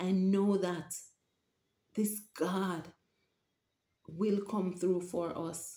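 A woman speaks very slowly in a dark, mellow, somewhat breathy tone with a Jamaican accent and flat, monotone intonation. The room echo is audible. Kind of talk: religious vlog monologue. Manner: halting. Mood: earnest, emotional, preaching. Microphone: webcam.

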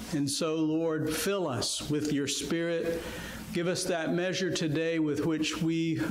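A man speaks at a very slow pace, with light background noise and audible room echo. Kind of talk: public prayer. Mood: reverent, earnest. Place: church.

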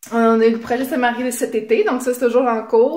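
Fairly even intonation in a Quebec accent, with audible room echo. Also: woman. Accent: Québécois French. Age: 20s. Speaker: game show applicant. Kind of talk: audition video. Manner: hesitant, many fillers. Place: home room. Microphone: phone near.

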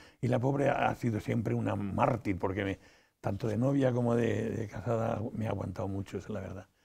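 A man speaks at a fairly quick pace with vocal fry. His tone is dark and mellow, with ordinary pitch variation. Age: 80s+. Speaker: interview guest. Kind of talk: interview. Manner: halting, many repetitions. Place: studio. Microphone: lapel.

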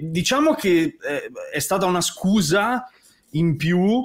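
A man with a slight Tuscan accent speaks with very wide pitch swings. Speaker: composer. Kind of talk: casual chat.

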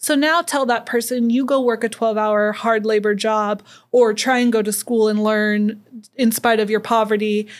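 Against a quiet background, a woman speaks at a moderate pace with fairly even intonation and very even loudness. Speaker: podcast guest. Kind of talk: interview answer. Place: studio. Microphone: studio mic.

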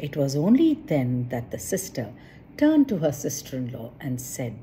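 Speaking with very wide pitch swings, a woman has an extremely low pitch and a dark, mellow tone. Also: moderate pace.

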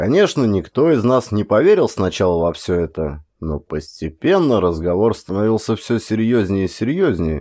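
On a very clean recording with a silent background, a man speaks at a fairly low pitch with a dark, mellow tone. His pitch swings very widely while his pace stays moderate. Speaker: audiobook reader, actor. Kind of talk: audiobook narration of a horror short story.

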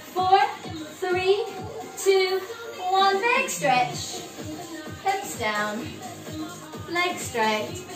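A woman's extremely high voice at a very slow pace, with clear music in the background. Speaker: fitness instructor. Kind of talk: exercise class instruction. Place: home room. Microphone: camera far.

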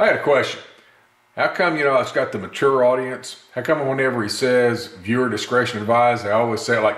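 A Mississippi accent with audible room echo. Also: man. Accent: Southern US (Mississippi). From US South, Gulfport, Mississippi. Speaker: gun video channel host. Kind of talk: casual vlog talk to camera. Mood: earnest, opinionated. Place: workshop. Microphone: camera far.

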